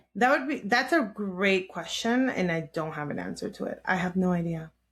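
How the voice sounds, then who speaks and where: A somewhat breathy woman's voice at a medium pitch. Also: moderate pace. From Los Angeles (Redondo Beach, Inglewood), US. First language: Spanish. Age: 30s. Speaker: therapist. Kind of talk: interview. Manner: casual, halting with restarts.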